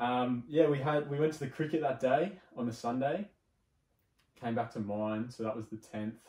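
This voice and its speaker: A man with a dark, mellow tone and ordinary pitch variation, at a moderate pace with long, frequent pauses, audible room echo and a quiet background. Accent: Australian. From Sydney, Australia. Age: 20s. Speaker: arborist. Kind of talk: casual chat. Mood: serious, reflective storytelling. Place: home room.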